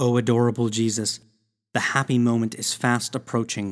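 This man's tone is intense and solemn, at a medium pitch. The recording is very clean, with a silent background. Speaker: prayer reader. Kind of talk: fervent prayer, devotional reading aloud. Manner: earnest, pleading, intense; slow, solemn, reverent.

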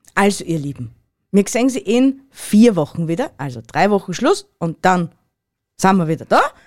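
At a moderate pace, a woman speaks at a medium pitch that moves in very wide swings. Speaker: podcast co-host. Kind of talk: casual chat.

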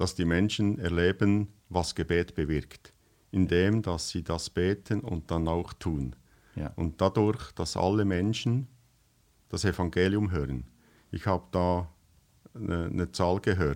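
Speaking at a very slow pace, a man uses a very deep, low pitch with ordinary pitch variation, on a very clean recording with a silent background. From western Switzerland, bilingual canton of Fribourg. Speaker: missionary organisation worker. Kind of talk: casual interview chat.

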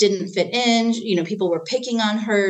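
A woman with a normal speaking voice. Her pitch sits in the middle range and her intonation stays fairly even. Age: 40s. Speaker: parenting trainer. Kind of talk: casual chat.

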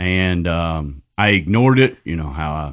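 With a Southern accent, a man speaks in a very deep, low voice. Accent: Southern, milder than the hosts'. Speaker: recovery ministry director. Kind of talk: testimony. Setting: studio.

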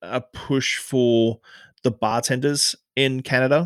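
Recorded very cleanly against a silent background, a man with an Australian accent speaks at a medium pitch with fairly even intonation, the sound dry and close with no echo. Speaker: bartender and author. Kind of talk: interview.

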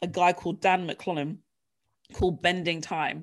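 In a very clean recording with a silent background, a woman speaks at a medium pitch with an English accent. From England. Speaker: leadership coach and author. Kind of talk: casual interview chat, personal testimony.

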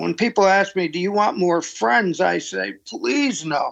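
With an American accent, a man is talking. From US Northeast, Pittsburgh. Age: 80s+. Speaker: ministry leader and mentor. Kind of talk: interview conversation. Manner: halting, repeats words.

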